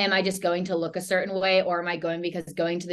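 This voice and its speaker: A woman talking at a very fast pace, fairly low in pitch, over a quiet background. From US South, Charlotte, North Carolina. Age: 20s. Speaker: fitness and nutrition coach. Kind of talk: casual interview chat.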